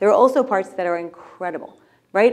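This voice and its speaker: An American-accented woman at a medium pitch, with lively intonation and a moderate pace. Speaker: startup founder and CEO. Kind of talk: fireside chat. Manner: animated.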